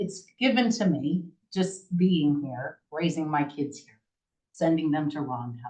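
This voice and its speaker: A woman at a fairly slow pace, with an American accent. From US Northeast, Ulster County, New York. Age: 40s. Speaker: town board candidate. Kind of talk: interview. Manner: loud; casual, rambling self-corrections.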